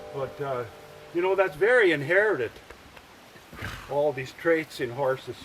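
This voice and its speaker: Amid noticeable background noise, a man with a fairly high voice speaks at a moderate pace with long, frequent pauses. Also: lively intonation. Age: 80s+. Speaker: horse trainer. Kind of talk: casual narration while working horses. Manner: halting.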